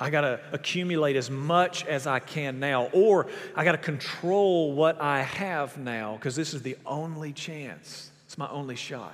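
A man with an unremarkable speaking voice talks at a fairly high pitch. His pace is fairly slow and his pitch variation ordinary. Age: 30s. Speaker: pastor. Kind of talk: sermon. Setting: church.

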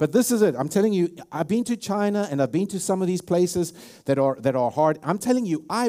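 Talking at a fairly quick pace, a man with a South African accent has a dark, mellow tone, a high pitch and lively intonation. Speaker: pastor. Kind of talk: sermon. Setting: church.

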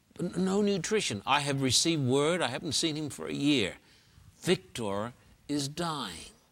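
A man with an Australian accent speaks at a fairly high pitch and a moderate pace, his intonation lively. The recording is very clean, with a silent background. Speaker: pastor and evangelist. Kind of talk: interview.

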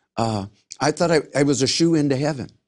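In a normal speaking voice, a man with an American accent talks at a moderate pace with ordinary pitch variation. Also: quiet background. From Los Angeles, US. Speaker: pastor and former singer. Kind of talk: interview testimony.

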